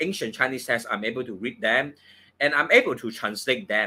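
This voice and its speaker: This is a man's voice. He speaks with a Cantonese accent. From Hong Kong. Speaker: feng shui and astrology teacher. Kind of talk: course promotion talk on live stream. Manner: halting, many fillers.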